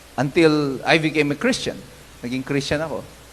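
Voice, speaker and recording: There is audible room echo on a man's voice as he talks. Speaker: pastor. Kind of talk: sermon. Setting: church.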